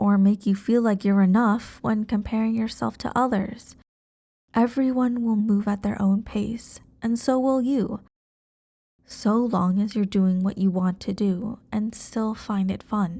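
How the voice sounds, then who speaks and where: In a very clean recording with a silent background, a woman speaks with a gentle, dark, mellow tone, fairly high pitch, a somewhat breathy quality, fairly even intonation and a fairly slow pace. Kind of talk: ASMR girlfriend roleplay. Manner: gentle, reassuring.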